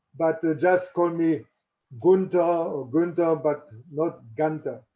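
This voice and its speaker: Speaking very slowly in a German accent, a man keeps his intonation fairly even. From Germany. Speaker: athletics coach. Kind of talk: panel discussion.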